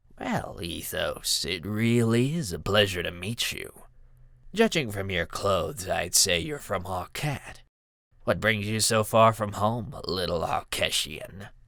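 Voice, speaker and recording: On a very clean recording with a silent background, a man does a raspy put-on character voice at a medium pitch and a fairly slow pace. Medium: read story. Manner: snide, mocking.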